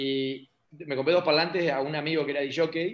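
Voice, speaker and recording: A man with an unremarkable speaking voice talks at a moderate pace. His pitch is fairly high. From Argentina, Paraná (Entre Ríos). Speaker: local politician. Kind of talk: interview.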